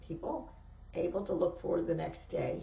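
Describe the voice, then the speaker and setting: There is noticeable background noise and audible room echo. Through it, a woman talks. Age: 70s. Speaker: podcast host. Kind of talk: casual chat. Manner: halting.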